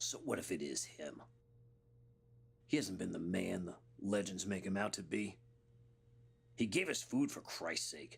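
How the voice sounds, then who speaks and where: Raspy and in a put-on character voice, the speaker keeps a moderate pace broken by long, frequent pauses. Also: man, fairly low pitch for a man. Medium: short film.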